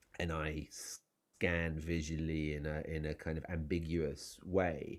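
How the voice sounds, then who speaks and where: On a very clean recording with a silent background, a man with an English accent speaks very slowly in a very deep, low pitch, his intonation monotone and flat. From England. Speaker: novelist. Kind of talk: interview. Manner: halting, many fillers and restarts.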